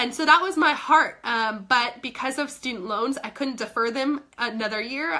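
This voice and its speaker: A woman's animated tone at a moderate pace, with noticeable background noise. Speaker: fitness coach. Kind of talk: live stream chat. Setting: live video stream.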